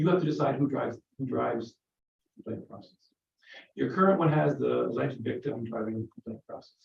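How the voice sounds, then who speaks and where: A man's voice with vocal fry, very wide pitch swings and big swings in loudness, very fast pace broken by long, frequent pauses. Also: medium pitch for a man. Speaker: legislator. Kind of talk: committee briefing.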